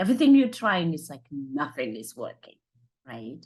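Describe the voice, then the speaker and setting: A woman speaks with a Zimbabwean accent. The background is quiet. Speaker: motivational speaker and life coach. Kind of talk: motivational talk. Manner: energetic.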